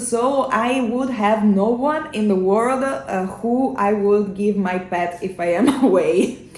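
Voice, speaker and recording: A woman with an Italian accent, lively intonation and a very slow pace, plus audible room echo. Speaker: singer in a metal band. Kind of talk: casual chat. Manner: halting, many fillers.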